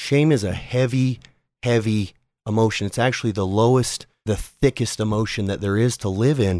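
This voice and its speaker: A man talks at a moderate pace in an unremarkable speaking voice, medium in pitch with ordinary variation, on a very clean recording with a silent background. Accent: American. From Utah, US (South Jordan). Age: 30s. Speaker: podcaster. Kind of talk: casual interview.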